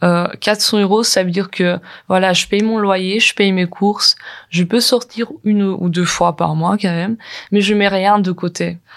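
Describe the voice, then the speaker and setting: A woman at a very slow pace, medium in pitch, with fairly even intonation. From Ukraine. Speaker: recent graduate. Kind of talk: testimony. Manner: halting.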